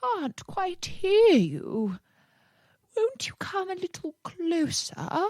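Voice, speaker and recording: Putting on a character voice, a woman speaks at a very slow pace with an extremely high pitch. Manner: feigning hearing trouble.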